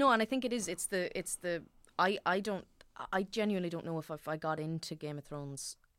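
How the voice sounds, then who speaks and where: The woman speaks with an Irish accent and ordinary pitch variation. Her recording is very clean, with a silent background. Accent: Irish (Louth). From Ireland, Dundalk (County Louth). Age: 20s. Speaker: actor. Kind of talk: casual chat.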